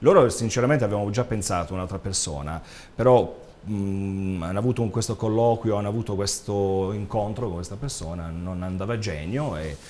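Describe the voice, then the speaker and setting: A man talks at a moderate pace in a fairly low pitch with ordinary pitch variation. He has a plain, everyday voice. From Apulia, Italy. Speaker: actor and DJ; guest actor. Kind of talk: interview. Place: studio. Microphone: lapel.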